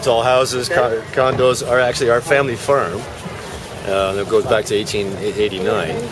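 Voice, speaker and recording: Amid noticeable background noise and audible room echo, a man talks at a moderate pace and medium pitch. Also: ordinary pitch variation. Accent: Canadian. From Ontario, Canada (Burlington). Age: 60s. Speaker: farmer. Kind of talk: interview. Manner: halting, many fillers.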